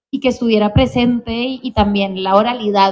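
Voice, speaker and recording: Fairly high female voice, moderate pace, fairly even intonation. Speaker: novelist. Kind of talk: interview about her novel. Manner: halting, many repetitions.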